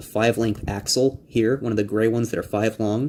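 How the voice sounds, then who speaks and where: The speaker is a man with a medium pitch. He keeps his intonation fairly even. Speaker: Lego hobbyist builder. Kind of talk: tutorial. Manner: fast; casual, hesitant with fillers.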